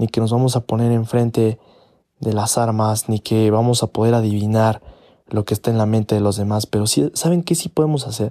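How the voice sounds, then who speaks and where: A man's dark, mellow voice at medium pitch and a fairly quick pace, very even in loudness, with ordinary pitch variation and a dry, close sound with no echo. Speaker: podcaster. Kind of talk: opinion monologue. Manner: halting.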